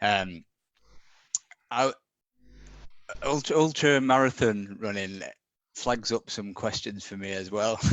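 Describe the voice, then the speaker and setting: Speaking very slowly with a northern English accent, the man has a fairly low pitch, ordinary pitch variation, long and frequent pauses, and big swings in loudness. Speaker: back pain sufferer sharing recovery. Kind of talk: live Q&A interview. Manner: halting, many restarts.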